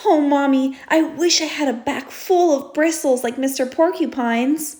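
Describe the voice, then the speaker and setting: Putting on a character voice, a woman speaks at a moderate pace with a high pitch. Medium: read story. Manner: wistful, small.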